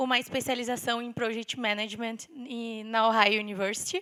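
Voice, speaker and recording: In a very clean recording with a silent background, a woman speaks at a moderate pace. Her fairly high voice has a bright, sharp tone and fairly even intonation. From southern Brazil (Rio Grande do Sul). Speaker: civil engineer and sales director. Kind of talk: conference talk. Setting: stage with audience.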